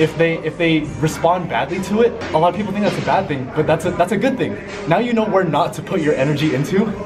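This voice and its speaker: A high-pitched man at a very fast pace, with ordinary pitch variation and clear music in the background. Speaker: vlogger giving advice. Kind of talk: casual advice talk to camera. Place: gym. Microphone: camera far.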